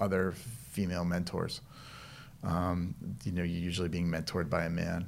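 Very deep, low male voice with an American accent, at a fairly quick pace with audible room echo. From Boston area, Massachusetts. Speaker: medical device trade association president. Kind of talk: interview. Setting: studio.

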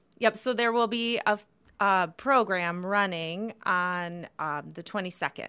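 A woman at a medium pitch with a Midwestern accent, fairly slow pace and ordinary pitch variation, in a very clean recording with a silent background. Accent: general American, Midwest. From northern Michigan. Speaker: nonprofit staff member, event organizer. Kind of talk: casual interview chat.

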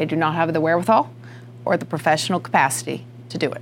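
With a slight Southern US accent, a woman talks at a fairly quick pace in a very deep, low pitch with lively intonation. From rural North Carolina. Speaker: realtor association president. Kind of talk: interview.

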